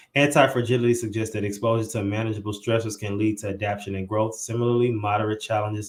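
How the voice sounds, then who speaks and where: This man has an American accent and a plain, everyday voice. His pitch is fairly low, and his intonation fairly even. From St. Louis, Missouri. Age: 20s. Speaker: podcast host. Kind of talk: podcast interview; reading aloud.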